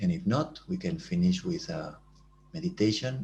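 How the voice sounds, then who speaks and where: Vocal fry runs through this voice. It swings very widely in pitch at a fairly slow pace. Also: man. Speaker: meditation teacher. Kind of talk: guided meditation; talk.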